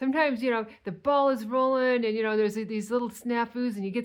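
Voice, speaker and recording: At a fairly quick pace, a woman talks in a plain, everyday voice pitched fairly high. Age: 60s. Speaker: weight loss vlogger. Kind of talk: casual monologue.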